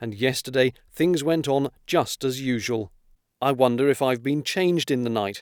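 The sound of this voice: The reading voice is unforced, with ordinary pitch movement. Behind it, things stay quiet.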